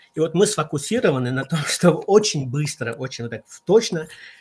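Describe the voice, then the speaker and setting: Lively intonation marks this man's fairly high, somewhat breathy voice. He talks at a moderate pace. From Central Asia. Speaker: consultant on team competencies. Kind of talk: online radio talk.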